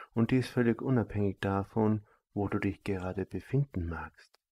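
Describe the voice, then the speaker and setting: Against a silent background in a very clean recording, a man with a fairly low pitch and a dark, mellow, calm, soothing tone speaks at a fairly slow pace with fairly even intonation. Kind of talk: guided meditation. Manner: slow, calm and soft-spoken, with a measured, soothing delivery; formal, elevated and abstract wording, almost lecture-like.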